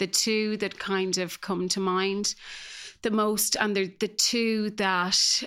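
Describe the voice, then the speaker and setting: In a flat monotone, a woman speaks at a very slow pace on a very clean recording with a silent background. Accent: Irish. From Ireland, small rural village. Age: 40s. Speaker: guest sharing recovery story. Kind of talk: personal testimony. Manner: hesitant, many fillers.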